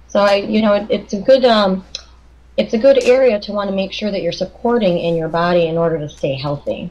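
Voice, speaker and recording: A woman with a Chicago accent, medium pitch, ordinary pitch variation, a somewhat breathy sound and a fairly quick pace. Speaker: clinical nutritionist. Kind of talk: interview.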